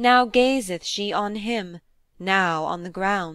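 At a very slow pace, a woman speaks at medium pitch with ordinary pitch variation in a very clean recording with a silent background. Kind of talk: poem reading aloud. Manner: measured narrative storytelling, building to vivid action.

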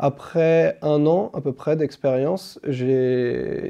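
A man speaks at a fairly high pitch in a dark, mellow tone. The background is quiet. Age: 20s. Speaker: tech support team manager. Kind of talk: company recruitment video monologue. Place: office. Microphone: lapel.

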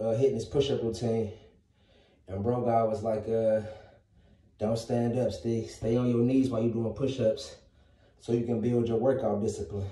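With a dark, mellow tone and somewhat breathy delivery, a man talks at a moderate pace in a monotone, flat intonation amid audible room echo. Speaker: fitness vlogger. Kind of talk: casual workout vlog chat. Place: home room. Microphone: phone near.

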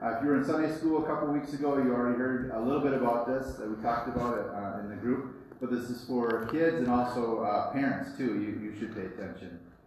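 A man at a very fast pace with hardly any pauses and ordinary pitch variation, in strong room echo with light background noise. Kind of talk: children's story talk. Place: church. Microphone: camera far.

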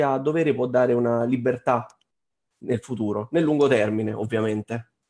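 Normal pitch movement in a man's dark, mellow voice. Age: 30s. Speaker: trading course student. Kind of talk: webinar testimony.

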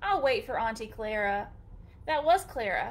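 Very wide swings of pitch from a woman. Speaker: storytime reader. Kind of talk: reading a picture book aloud to children. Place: home room. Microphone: webcam.

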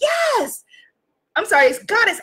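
Over a quiet background, a woman with an American accent speaks in a raised, projected voice. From New York City. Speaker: life coach and live-stream host; life coach, live-stream host. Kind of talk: motivational livestream talk. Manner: animated. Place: home room. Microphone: webcam.

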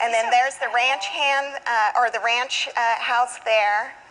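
Using fairly even intonation, a woman with a Southwestern US accent speaks at a fairly slow pace. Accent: Southwestern American English. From Arizona, USA. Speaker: guest cook on a TV segment. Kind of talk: TV interview answer. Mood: warm, nostalgic. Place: studio.

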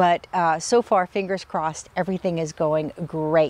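Dry with no echo, a woman's voice moves at a fairly slow pace with fairly even intonation. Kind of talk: casual vlog chat. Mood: cheerful. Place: garden. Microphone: lapel.

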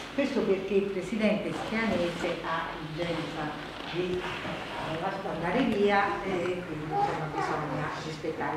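A woman speaks with ordinary pitch variation. Audible room echo and loud background noise surround her. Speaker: journalist and event moderator. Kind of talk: event moderator announcement to audience. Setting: public hall event. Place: hall. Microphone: camera far.

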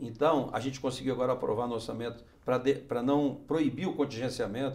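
This man has a medium-pitched voice. His intonation is flat and monotone. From Brasília, raised there from age 13 (born Minas Gerais). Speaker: senator. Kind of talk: interview. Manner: halting, frequent fillers and repetitions. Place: studio. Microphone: lapel.

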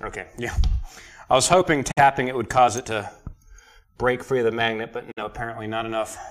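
In a quiet background, a man with an American accent speaks at a fairly quick pace and medium pitch, keeping his intonation fairly even and leaving long, frequent pauses. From central North Carolina. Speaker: car mechanic streamer. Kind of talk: casual chat while working on an engine. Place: workshop. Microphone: camera far.

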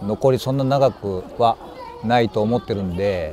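A man with lively intonation, light background noise and a dry sound with no echo. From Kansai, Japan (rural basin). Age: 50s. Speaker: actor. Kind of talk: interview answers. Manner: halting, with many pauses and fillers. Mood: calm, reflective. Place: open country.

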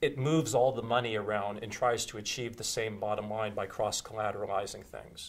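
A man's fairly even intonation at a moderate pace. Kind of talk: interview answer. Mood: relaxed, anecdotal, amused. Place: studio. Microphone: lapel.

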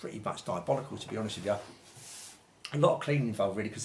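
Over light background noise, a man talks at a very fast pace with a fairly low pitch and ordinary pitch variation. His loudness swings widely. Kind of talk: tutorial. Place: home room.

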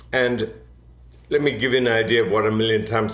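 A man speaks with audible room echo around his voice. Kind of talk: interview answer. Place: home room. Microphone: webcam.

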